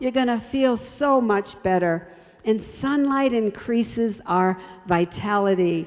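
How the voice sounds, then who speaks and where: A woman's warm, fairly high voice at a very slow pace, with ordinary pitch variation and noticeable background noise. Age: 70s. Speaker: health ministry speaker. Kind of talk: health talk. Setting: broadcast program. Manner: warm, exhortative.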